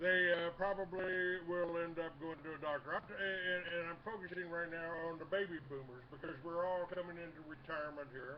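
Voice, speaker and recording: With hardly any pauses, a man talks at a moderate pace in a high pitch and fairly even intonation over noticeable background noise. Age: 60s. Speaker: talk radio host. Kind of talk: interview. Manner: halting.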